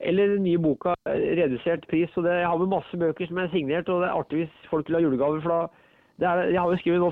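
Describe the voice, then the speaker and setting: This man talks at a very fast pace in a high pitch, with fairly even intonation. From Norway, Ringsaker (Hedmark). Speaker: author. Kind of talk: casual interview. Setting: phone call. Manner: halting.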